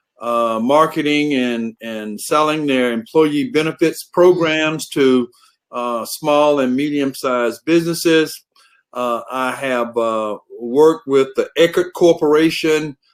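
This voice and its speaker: Very slowly and with ordinary pitch variation, a man with a Southern US accent speaks at a fairly high pitch, in a very clean recording with a silent background. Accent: Southern US drawl. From US South. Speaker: human resources director. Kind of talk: conference talk. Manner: many filler words (uh, um).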